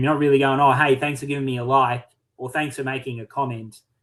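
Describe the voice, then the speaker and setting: A man uses a normal speaking voice at medium pitch. His intonation stays fairly even. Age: 30s. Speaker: online community owner. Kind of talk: casual chat.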